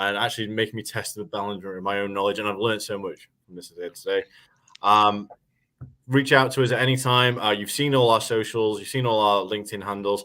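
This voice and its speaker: A man with a British accent talks at a fairly quick pace, his fairly low voice bright and sharp in tone. His intonation stays fairly even, but his loudness swings widely. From England. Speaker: webinar host, marketing manager. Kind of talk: webinar chat. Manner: fast.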